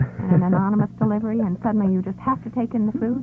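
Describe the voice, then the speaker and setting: A woman talks at a very fast pace in an upbeat tone. Music plays in the background. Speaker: military radio host. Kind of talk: morning radio show co-host. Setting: vintage 1969 radio broadcast. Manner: chatty, upbeat.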